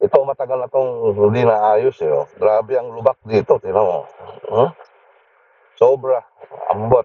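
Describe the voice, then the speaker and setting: The man speaks at a fairly slow pace. Long pauses come often. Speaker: motovlogger. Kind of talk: casual vlog narration while riding. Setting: riding motorcycle outdoors, full face helmet.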